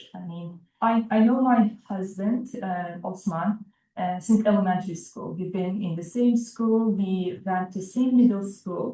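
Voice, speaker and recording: A woman's medium-pitched, somewhat breathy voice at a fairly slow pace, with fairly even intonation and big swings in loudness. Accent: Turkish. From eastern Turkey (Erzurum). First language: Turkish. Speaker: immigrant interviewee, physician. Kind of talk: oral history interview.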